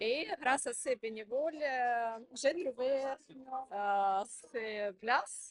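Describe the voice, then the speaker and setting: A woman with ordinary pitch variation. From Ukraine. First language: Ukrainian or Russian (speaking French). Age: 40s. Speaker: migrant participant. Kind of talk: interview testimony. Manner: halting, many hesitations.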